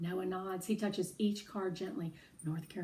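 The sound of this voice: In an unforced reading voice, the lines are delivered with fairly even intonation.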